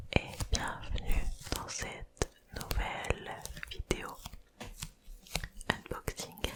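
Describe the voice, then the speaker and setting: A woman whispers in a relaxed tone at a very slow pace, with long, frequent pauses. Noticeable background noise runs underneath. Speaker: ASMR content creator. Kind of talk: ASMR unboxing in a soft whisper. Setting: close microphone, home recording. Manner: soft-spoken, whispering, relaxed.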